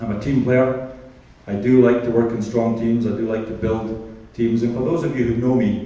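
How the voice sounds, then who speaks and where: Monotone, flat intonation marks a man speaking at a moderate pace. Audible room echo can be heard. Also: medium pitch for a man. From Scotland. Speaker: mayoral candidate. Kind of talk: candidate speech at public forum. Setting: community hall forum with audience.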